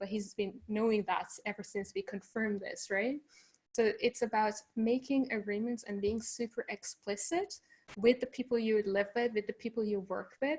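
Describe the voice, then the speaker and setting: At a moderate pace, a woman talks with fairly even intonation and a fairly high pitch. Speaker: remote work consultant. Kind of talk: live online Q&A interview. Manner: loud; varied pace with pauses.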